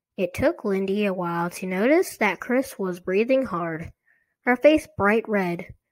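Quiet background behind a natural reading voice

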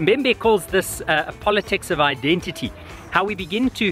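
Faint music plays in the background. A man is speaking. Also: dry sound with no echo. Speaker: researcher vlogger. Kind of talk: casual vlog reflection. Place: open country. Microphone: phone near.

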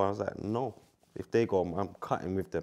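A man speaks at a fairly low pitch with fairly even intonation. His tone is dark and mellow. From London. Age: 30s. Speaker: former professional footballer. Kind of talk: podcast interview answer. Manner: casual, slang-heavy. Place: studio.

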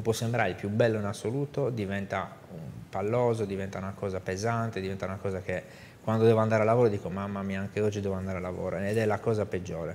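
Over light background noise, a man talks at a very fast pace in a fairly low pitch with fairly even intonation. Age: 50s. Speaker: business executive; guest. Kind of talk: interview. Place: studio. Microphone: lapel.

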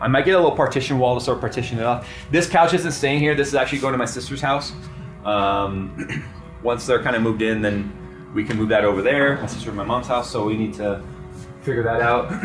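A man speaks very rapidly while clear music plays behind him. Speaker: tech channel host. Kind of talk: casual vlog tour. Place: office.

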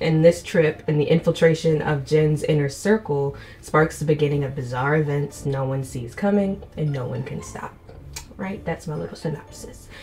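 With ordinary pitch variation, the voice moves at a moderate pace over light background noise, its loudness swinging widely. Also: woman, very deep, low pitch for a woman. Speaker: book reviewer. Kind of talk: casual vlog chat. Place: home room.

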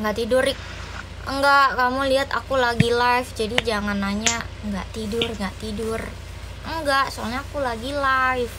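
Over noticeable background noise, a woman talks at a moderate pace in a high voice with fairly even intonation. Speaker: live streamer. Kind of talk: casual livestream chat. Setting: livestream.

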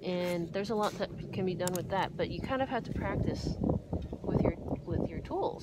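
A woman mumbles in a relaxed tone, the sound dry with no echo and loud background noise behind her. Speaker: art teacher. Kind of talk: drawing tutorial talk. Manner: mumbling, hesitant; casual, relaxed. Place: garden. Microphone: phone near.

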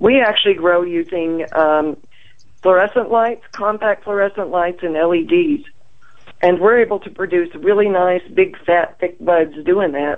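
Her pitch is medium with ordinary variation, in an ordinary speaking voice. The woman speaks at a fairly slow pace. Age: 60s. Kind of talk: interview.

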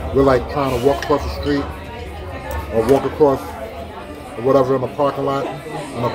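With crowd noise behind him, a man speaks at a fairly quick pace. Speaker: food vlogger. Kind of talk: casual vlog chat. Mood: cheerful, enjoying food. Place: cafe. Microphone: phone near.

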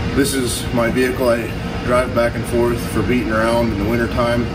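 A man talking at a moderate pace over music in the background. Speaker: mechanic vlogger. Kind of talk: casual vlog chat. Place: garage. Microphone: camera far.

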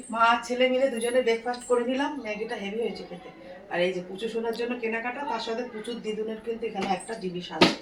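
A woman with a fairly high pitch keeps her intonation fairly even amid noticeable background noise. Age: 40s. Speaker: family vlogger. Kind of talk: casual vlog narration.

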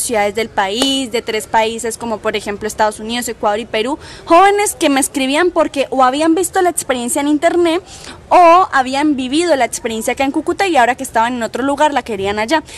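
With lively intonation and a high pitch, a woman talks at a fairly quick pace against noticeable background noise. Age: young. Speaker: literary foundation director. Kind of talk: interview answer. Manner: cheerful, easygoing.

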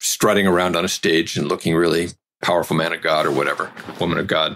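With an American accent, the speaker moves at a fairly quick pace in a bright, sharp tone. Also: man. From US Pacific Northwest, Seattle area. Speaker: pastor and seminary teacher. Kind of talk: interview testimony.

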